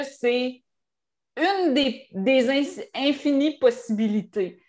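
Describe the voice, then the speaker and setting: A loud woman in a Quebec accent, high-pitched, with ordinary pitch variation. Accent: Québécois French. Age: 40s. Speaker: author and screenwriter. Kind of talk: casual chat. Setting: home office. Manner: animated. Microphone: room echo.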